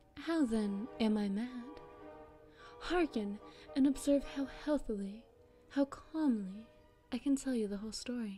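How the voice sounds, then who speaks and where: With music in the background, a woman talks at a fairly slow pace in a fairly high voice. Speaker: audiobook narrator. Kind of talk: dramatic literary reading of a classic short story.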